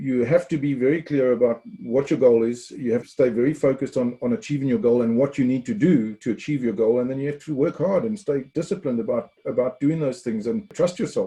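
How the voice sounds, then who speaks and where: Lively intonation marks a man's medium-pitched, somewhat breathy voice. His tone is dark and mellow, and his pace is fairly quick. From South Africa. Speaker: former Olympic field hockey player, sports tech CEO. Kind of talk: podcast interview answer.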